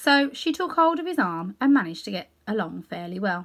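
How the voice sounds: A woman at medium pitch speaks at a moderate pace with a fairly bright tone and big pitch swings.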